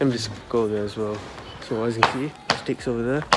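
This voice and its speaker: Background noise is noticeable. A man speaks at a moderate pace. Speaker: vlogger. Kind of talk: casual vlog narration. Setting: outdoors in garden. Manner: soft-spoken.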